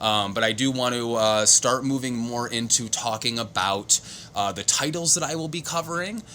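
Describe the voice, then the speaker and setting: A man's medium-pitched voice, with ordinary pitch variation, moves at a moderate pace against noticeable background noise. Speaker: comics video creator. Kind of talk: casual solo talk show. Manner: halting, many fillers.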